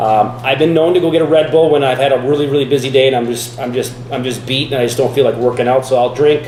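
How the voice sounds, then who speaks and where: Racing at a very fast pace with hardly any pauses, a man talks at a medium pitch with fairly even intonation, amid noticeable background noise and audible room echo. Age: 40s. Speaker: fitness vlogger. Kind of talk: casual vlog talk. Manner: casual, halting with many fillers.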